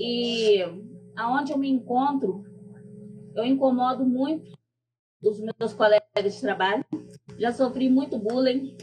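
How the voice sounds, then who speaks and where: A woman's high voice, fairly slow with long, frequent pauses and ordinary pitch variation, over music in the background. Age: 40s. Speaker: public servant and activist. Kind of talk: personal testimony. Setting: stage with audience.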